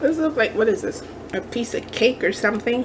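A woman speaks with lively intonation, and noticeable background noise is present. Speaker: craft haul vlogger. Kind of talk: casual haul show-and-tell. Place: kitchen. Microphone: phone near.

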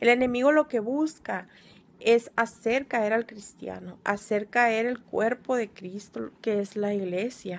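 At a very slow pace, a woman speaks with a fairly high pitch and ordinary pitch variation. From Mexico, Sonora (Altar); Sonora. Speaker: deliverance ministry trainee. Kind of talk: recorded homework presentation. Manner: hesitant, many filler sounds. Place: home room. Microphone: phone near.

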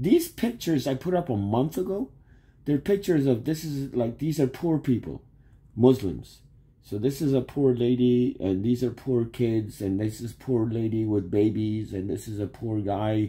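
Lively intonation and a dark, mellow tone, somewhat breathy, at a moderate pace. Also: man. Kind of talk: casual vlog chat. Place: home room. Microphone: phone near.

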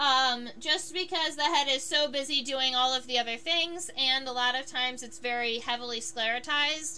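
A woman's raised, projected, high-pitched voice amid noticeable background noise. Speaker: entomologist and live-stream educator. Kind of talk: live-stream tutorial while drawing. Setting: solo live stream at home. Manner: hesitant, many fillers.

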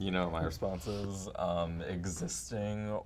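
A man delivers a deadpan tone at a very slow pace in a very deep, low pitch, with noticeable background noise. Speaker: podcast co-host. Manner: deadpan delivery. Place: studio.

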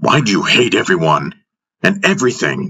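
A put-on character voice from a man, low-pitched with big pitch swings, bright and sharp with a slightly husky edge, at a moderate pace

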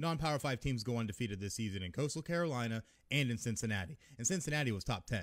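A loud, animated man at a very fast pace, with very wide pitch swings, against a quiet background. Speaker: podcast host ranting about college football. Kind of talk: angry rant. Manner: loud, fired-up, animated. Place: home room. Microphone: studio mic.

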